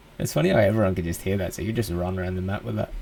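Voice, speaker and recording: Very fast speech from a man, with noticeable background noise. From Australia. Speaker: gaming YouTuber. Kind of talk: gameplay commentary. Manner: casual, relaxed.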